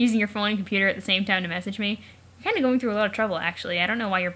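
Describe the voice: What you hear is plain reading aloud.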